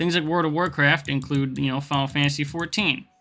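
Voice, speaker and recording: Over music in the background, a man speaks at a very fast pace with fairly even intonation. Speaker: gaming video creator. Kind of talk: video essay narration.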